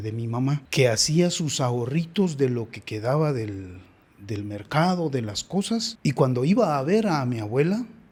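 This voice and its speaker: At a fairly slow pace, a man with a dark, mellow tone speaks at a medium pitch, his voice making very wide pitch swings. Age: 60s. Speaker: father of the host. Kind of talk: interview.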